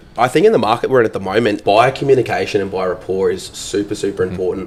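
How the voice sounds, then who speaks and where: Talking at a very fast pace, a man keeps his fairly low voice fairly even in intonation. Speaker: auctioneer and real estate sales agent. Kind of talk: interview answer.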